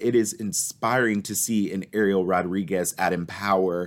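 In a very clean recording with a silent background, a man with a plain, everyday voice speaks at a fairly low pitch with ordinary pitch variation. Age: 20s. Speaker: nonprofit executive. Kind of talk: interview conversation.

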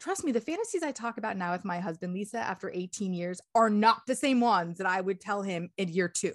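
A woman with an American accent talks in a plain, everyday voice at medium pitch. Her pitch varies in an ordinary way, and the background is quiet. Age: 40s. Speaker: sex coach. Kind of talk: interview.

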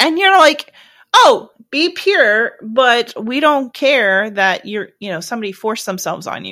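A woman's raised, projected voice, bright and sharp in tone, fairly slow, with very wide pitch swings. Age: 30s. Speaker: podcast host. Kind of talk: interview.

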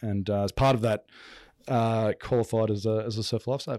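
At a moderate pace, a man with an Australian accent speaks in a fairly low, flat monotone, the sound dry and close with no echo on a very clean recording with a silent background. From Brisbane, Australia. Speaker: business executive. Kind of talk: interview.

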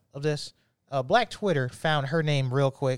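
A man with a normal speaking voice and a fairly high pitch talks at a fairly quick pace, with a dry, close sound with no echo on a very clean recording with a silent background. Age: 30s. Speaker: podcast co-host. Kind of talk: casual chat.

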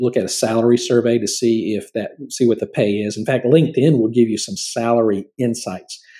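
With a dark, mellow tone and medium pitch, a man speaks at a moderate pace with fairly even intonation. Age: 50s. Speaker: podcast host and career trainer. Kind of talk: solo informational talk.

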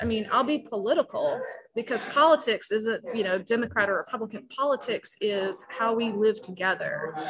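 A woman speaks at a moderate pace with a fairly high pitch. Her pitch varies in an ordinary way, and background noise is noticeable. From South Carolina (Walterboro). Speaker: pastor. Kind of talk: interview.

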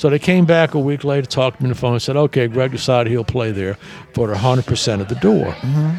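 A man with an American accent talks very fast at a medium pitch, using ordinary pitch variation over noticeable background noise. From US South. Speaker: nightclub owner. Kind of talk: casual chat.

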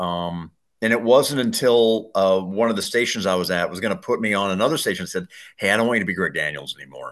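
A man with an American accent at a very fast pace, fairly low pitch and ordinary pitch variation, against a quiet background. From Colorado. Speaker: radio host and sports announcer. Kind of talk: interview.

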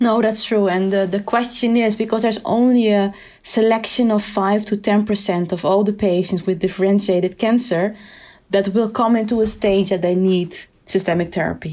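A woman's dark, mellow voice at medium pitch, in a Dutch accent, with a moderate pace, fairly even intonation and a very clean recording over a silent background. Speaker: endocrinologist. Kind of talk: expert discussion.

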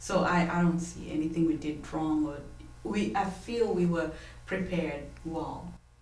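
Against noticeable background noise, a woman with a fairly low pitch speaks at a fairly slow pace. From Kenya. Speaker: missionary. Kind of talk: interview. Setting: studio.

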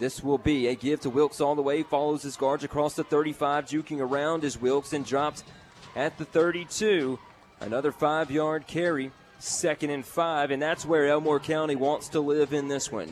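Pitched fairly high, a man with an ordinary speaking voice talks at a moderate speed. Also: fairly even intonation. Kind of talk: live play-by-play football commentary. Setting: stadium broadcast booth.

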